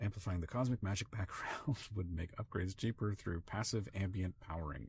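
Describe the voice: Ordinary pitch variation in plain reading aloud.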